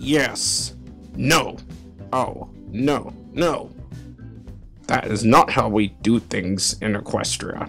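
A man puts on a character voice, pitched fairly low, at a very slow pace with long, frequent pauses. Clear music plays in the background. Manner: theatrical.

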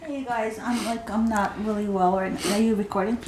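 Over noticeable background noise, a woman speaks at a fairly quick pace in a weary tone with fairly even intonation. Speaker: vlogger. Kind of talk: casual vlog chat. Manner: weak, unwell, weary voice. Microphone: phone near.

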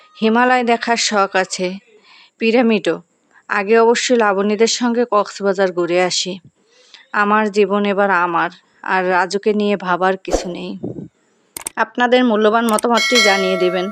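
A woman talks at medium pitch with fairly even intonation. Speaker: sewing and embroidery YouTuber. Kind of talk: reading aloud a first-person story.

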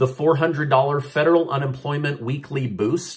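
At a fairly slow pace, a man speaks in a somewhat breathy voice with ordinary pitch variation. The background is quiet. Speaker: news vlogger. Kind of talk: news commentary vlog. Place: home room. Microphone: phone near.

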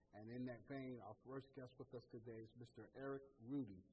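Somewhat breathy, a man with an American accent speaks at a medium pitch in a dark, mellow tone with fairly even intonation. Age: 20s. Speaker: talk show host. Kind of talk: interview.

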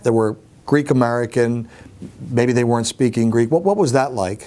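A man speaks with ordinary pitch variation and very even loudness. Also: moderate pace. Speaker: interviewer. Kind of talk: interview questions. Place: home room.

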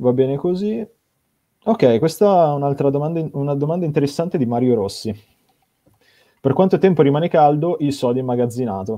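A man talks at a fairly quick pace with lively intonation and long, frequent pauses over a quiet background. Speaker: event moderator. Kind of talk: live stream moderation. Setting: video call. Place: home room. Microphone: video call.

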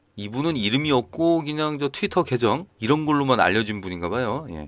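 A man's bright, sharp-toned voice at a medium pitch, with ordinary pitch variation and a fairly quick pace. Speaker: gaming news youtuber. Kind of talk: news roundup with casual commentary. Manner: conversational.

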